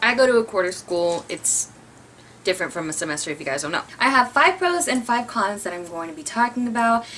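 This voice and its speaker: Against noticeable background noise, a woman with a fairly high pitch speaks with very wide pitch swings and big swings in loudness. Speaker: community college student. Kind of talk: casual talk to camera. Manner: stuttering, uses filler words; fast, thoughts outrun speech.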